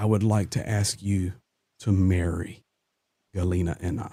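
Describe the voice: Putting on a guttural character voice, a man speaks at a moderate pace with a very deep, low pitch and monotone, flat intonation.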